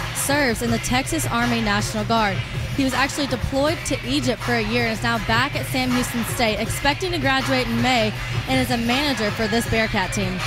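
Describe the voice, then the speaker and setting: The speech moves at a fairly quick pace. The sound is dry with no echo, and music plays clearly in the background. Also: woman. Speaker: sideline reporter. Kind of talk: sports sideline report. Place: stadium. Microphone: handheld.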